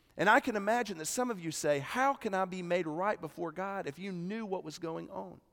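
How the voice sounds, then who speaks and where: A man talks in a Southern US accent. His pitch is high. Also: ordinary pitch variation, fairly quick pace, hardly any pauses. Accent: Southern American. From US South, South Carolina Midlands. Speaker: pastor. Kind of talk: sermon. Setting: church.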